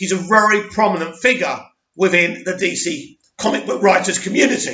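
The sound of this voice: Putting on a hoarse character voice, a man speaks high in pitch at a moderate pace with lively intonation.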